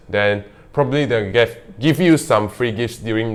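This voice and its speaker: Heard in a very clean recording with a silent background, a man with a non-native accent speaks at a moderate pace. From Malaysia (Kuching). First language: not English. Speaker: real estate vlogger. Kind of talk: casual vlog monologue. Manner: halting, hesitant with fillers.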